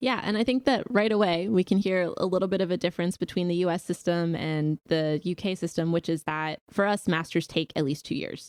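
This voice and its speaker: An unremarkable speaking voice with an American accent, fairly quick with hardly any pauses, ordinary pitch variation and a dry, close sound with no echo. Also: woman, fairly low pitch for a woman. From US South. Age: 30s. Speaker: podcast host. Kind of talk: interview. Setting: video call.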